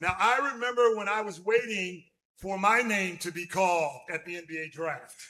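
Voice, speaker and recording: With a high, bright and sharp tone, a man speaks in a raised, projected voice at a fairly slow pace, his loudness swinging widely while his pitch varies in an ordinary way. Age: 60s. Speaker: evangelist, former pro basketball player. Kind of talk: sermon. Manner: pausing for interpretation.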